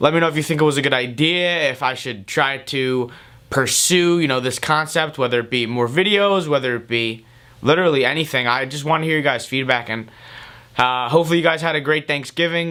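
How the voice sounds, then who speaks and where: A man with a fairly high pitch and a bright, sharp tone talks at a fairly quick pace with ordinary pitch variation. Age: 20s. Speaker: vlogger and student. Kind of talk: casual vlog intro; motivational speech. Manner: animated.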